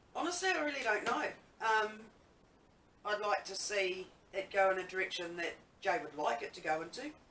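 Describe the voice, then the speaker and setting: Over noticeable background noise, a woman talks with very wide pitch swings and long, frequent pauses. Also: medium pitch for a woman, fairly quick pace. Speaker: band drummer and singer. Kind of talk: interview. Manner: halting.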